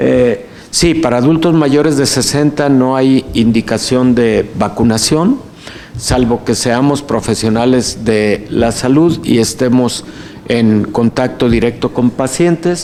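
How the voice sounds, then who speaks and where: A man speaks very slowly at a medium pitch with ordinary variation. His loudness stays very even despite noticeable background noise. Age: 60s. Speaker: physician and health official. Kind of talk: lecture Q&A. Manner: filled pauses.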